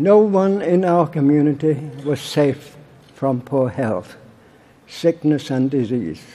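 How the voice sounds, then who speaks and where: A man speaks very slowly with long, frequent pauses at a fairly high pitch. His intonation is lively, and noticeable background noise can be heard. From Barnsley, Yorkshire, England. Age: 80s+. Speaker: political campaigner. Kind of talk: conference speech.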